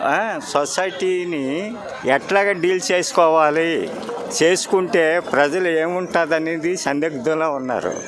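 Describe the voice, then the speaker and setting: Noticeable background noise is present. The speaker's intonation is fairly even. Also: man, high pitch for a man. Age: old. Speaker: interviewee in street public talk. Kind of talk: street interview answer.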